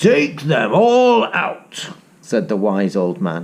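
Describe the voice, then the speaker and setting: A put-on character voice from a man, fairly high in pitch, with very wide pitch swings and a very slow pace. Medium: read story.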